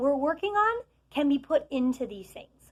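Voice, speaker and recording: Her plain, everyday voice moves at a fairly slow pace, and this woman uses ordinary pitch variation. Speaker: teacher. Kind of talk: tutorial.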